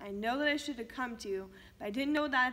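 With a bright, sharp tone, a woman speaks at a high pitch with ordinary pitch variation. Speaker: actor performing a monologue. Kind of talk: acting out a tense family argument, scripted dramatic monologue. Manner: angry, accusatory, raised and cutting. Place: studio.

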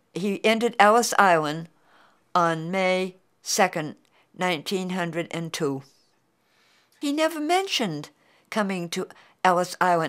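On a very clean recording with a silent background, a woman with a New England accent speaks at a fairly slow pace in a medium pitch, with lively intonation and long, frequent pauses. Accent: New England American. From Beverly, Massachusetts. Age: 80s+. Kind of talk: oral history interview answer.

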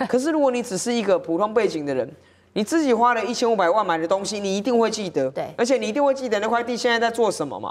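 A woman talks at a very fast pace with lively intonation. Her pitch is fairly high. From Taiwan. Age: 30s. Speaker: city councillor. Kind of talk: political talk show discussion. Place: studio. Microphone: lapel.

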